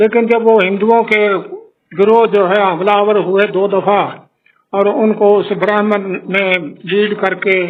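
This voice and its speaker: With long, frequent pauses, a man speaks in a high, monotone voice with flat intonation and very even loudness. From Haryana, India. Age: 80s+. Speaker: Partition witness. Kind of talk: interview answer.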